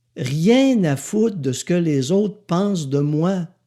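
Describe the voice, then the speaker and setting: A man with a Quebec accent speaks in an animated tone in a very clean recording with a silent background. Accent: Québécois French. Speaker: podcaster, author and speaker. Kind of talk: casual monologue podcast. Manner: sarcastic.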